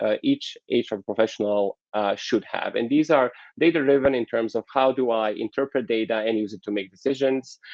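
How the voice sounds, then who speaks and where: Speaking at a moderate pace, a man uses a medium pitch with ordinary variation. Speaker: keynote speaker on HR development. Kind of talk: conference keynote presentation. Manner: hesitant, many fillers.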